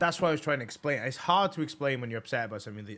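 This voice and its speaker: Speaking very fast with lively intonation, a man with a Welsh accent comes through in a very clean recording with a silent background. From Wales. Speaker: podcast host. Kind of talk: casual chat. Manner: halting, many false starts.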